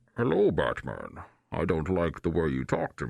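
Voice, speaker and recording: A man puts on a character voice, pitched very deep and low, and keeps a moderate pace. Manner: menacing, posh-sounding.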